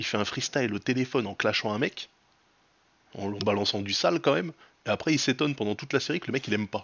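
Very fast delivery from a man, pitch varying in an ordinary way. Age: 40s. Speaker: podcast host. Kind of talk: casual chat. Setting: livestream with chat.

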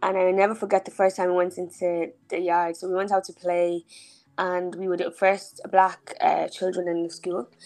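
A woman with an Irish accent, medium pitch, monotone, flat intonation and a moderate pace. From Ireland (Dublin, Clondalkin), born in Nigeria. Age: 20s. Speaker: entrepreneur and blogger. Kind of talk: casual interview.

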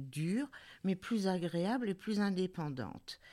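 A woman's fairly low, dark, mellow voice at a very slow pace, on a very clean recording with a silent background. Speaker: club member. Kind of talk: group discussion.

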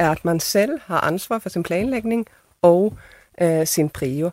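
At a very slow pace, a woman with a Swedish accent talks at medium pitch with ordinary pitch variation, in a dry, close sound with no echo. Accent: Swedish-accented Danish. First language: Swedish (speaking Danish). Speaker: theatre director. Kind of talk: panel discussion.

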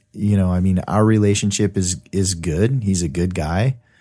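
A man's very deep, low voice, dark and mellow, with ordinary pitch variation and a fairly slow pace on a very clean recording with a silent background. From US, moved around. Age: 40s. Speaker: podcast guest, father. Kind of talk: casual chat. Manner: halting.

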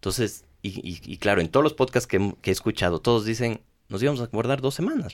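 Ordinary pitch variation at a fairly quick pace. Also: man, medium pitch for a man. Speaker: hotel company executive. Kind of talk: interview. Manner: halting, many repeated words.

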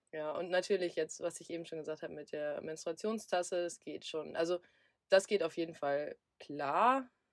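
A woman talks fairly low in pitch, using a normal speaking voice at a moderate pace with ordinary pitch variation. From southern Lower Saxony, Germany. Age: 20s. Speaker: van traveller. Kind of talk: casual chat.

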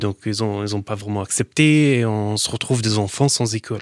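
A man with a Syrian accent and fairly even intonation, on a very clean recording with a silent background and a dry, close sound with no echo. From Syria, Daraya near Damascus. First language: Arabic (speaking French). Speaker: entrepreneur in metal recycling. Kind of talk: interview. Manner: halting.

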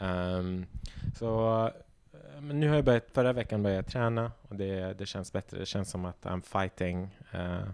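At a fairly slow pace, a man with an ordinary speaking voice and fairly low pitch talks with ordinary pitch variation. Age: 20s. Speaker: podcast guest, friend of the hosts. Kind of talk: casual chat.

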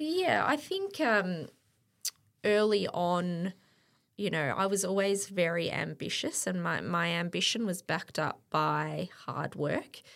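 The speaker is a woman with an Australian accent. She speaks at a very slow pace. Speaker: event operations director and lecturer. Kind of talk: casual interview chat. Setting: studio.

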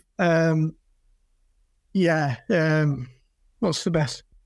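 A man with a Yorkshire accent at a very slow pace, on a very clean recording with a silent background. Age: 40s. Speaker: flooring retailer. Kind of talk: casual chat.

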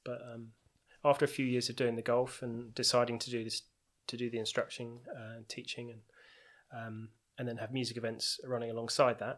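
This man has a southern English accent, a medium pitch and monotone, flat intonation, with big swings in loudness. He moves at a fairly quick pace between long, frequent pauses on a very clean recording with a silent background. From southeast England, Tunbridge Wells. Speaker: music festival organiser and musician. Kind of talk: casual interview chat.

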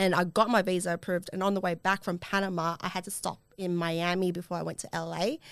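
A woman with an Australian accent at a fairly low pitch, very fast and flat in a monotone, with hardly any pauses, on a very clean recording with a silent background. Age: 20s. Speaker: podcast host. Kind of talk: casual chat.

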